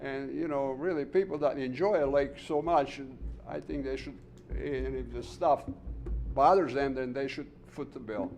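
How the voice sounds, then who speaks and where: Music plays behind the voice. A man talks at a moderate pace. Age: 70s. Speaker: resident speaking at public comment. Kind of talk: public comment at town meeting. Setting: township board meeting room.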